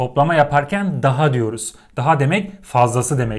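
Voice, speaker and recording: Against a quiet background, a man with a somewhat breathy voice speaks at a moderate pace with lively intonation. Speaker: teacher. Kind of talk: lecture. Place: home room. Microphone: lapel.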